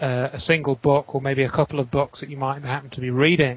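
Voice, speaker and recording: A man speaks with an English accent at a fairly high pitch. His intonation is monotone and flat. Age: 40s. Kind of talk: interview discussion. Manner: halting.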